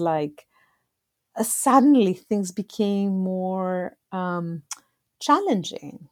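In a Greek accent, a woman talks at a medium pitch with a dark, mellow tone and ordinary pitch variation. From Greece. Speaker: astronomer and nonprofit executive. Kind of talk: interview conversation.

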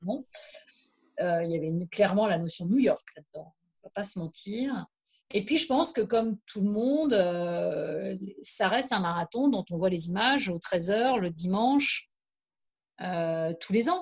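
Speaking very slowly at a medium pitch, a woman sounds somewhat breathy, with lively intonation and long, frequent pauses. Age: 50s. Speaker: journalist, author and trail runner. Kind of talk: casual chat.

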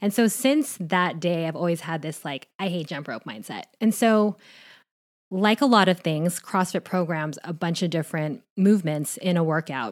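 At a moderate pace, a woman talks with medium pitch and ordinary pitch variation on a very clean recording with a silent background. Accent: American. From Southern California, Orange County. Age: 30s. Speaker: hairdresser and macro coach. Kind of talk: casual interview chat. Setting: in the host's home.

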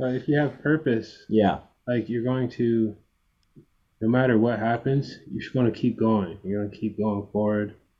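This man has a plain, everyday voice with a medium pitch. He talks at a moderate pace, his intonation fairly even. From Canada. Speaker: pop singer. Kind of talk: casual interview. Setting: physiotherapy clinic, remote call.

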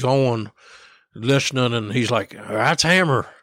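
Speaking with an Appalachian accent, a man uses a medium pitch with ordinary pitch variation at a moderate pace, recorded very cleanly against a silent background. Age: 60s. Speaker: squirrel dog trainer. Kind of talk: casual chat.

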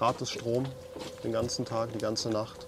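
With noticeable background noise around him, a man talks at a medium pitch. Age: 30s. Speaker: podcast host, electrical engineer. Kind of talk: casual chat. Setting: on a sailboat.

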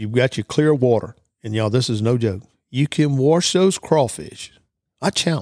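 A man with an American accent speaks at a moderate pace with lively intonation, in a very clean, dry, close recording with a silent background and no echo. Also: medium pitch for a man. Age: 50s. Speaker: outdoors podcast host and store owner. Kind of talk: cooking tutorial. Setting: store. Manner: casual, folksy.

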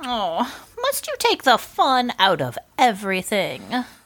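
A woman puts on a character voice with a fairly high pitch, a fairly bright tone, very wide pitch swings and a fairly slow pace.

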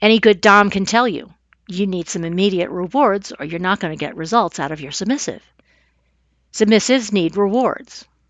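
Using an ordinary speaking voice at a medium pitch, a woman speaks at a moderate pace with ordinary pitch variation and big swings in loudness. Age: 50s. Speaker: podcast host and massage therapist. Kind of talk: solo podcast monologue.

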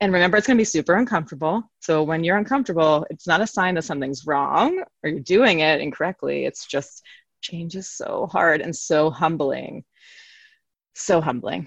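An unremarkable speaking voice with an American accent moves at a moderate pace. The intonation is lively. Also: woman, fairly low pitch for a woman. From New York City. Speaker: therapist and yoga teacher. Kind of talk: interview, casual chat.

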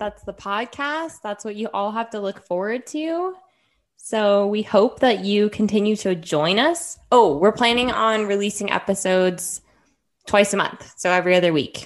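A woman with an American accent and an ordinary speaking voice talks at a moderate pace with a medium pitch and lively intonation in a quiet background. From Henderson, Nevada, US. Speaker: podcast co-host, physical therapist. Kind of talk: casual chat.

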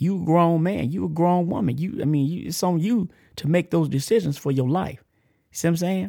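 Speaking with a Texan accent, a man talks at a high pitch and a fairly quick pace with ordinary pitch variation. The recording is very clean, with a silent background. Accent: country Texas. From Texas, Amarillo. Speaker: podcast host, ex-offender ministry. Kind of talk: casual motivational monologue. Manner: halting, repetitive.

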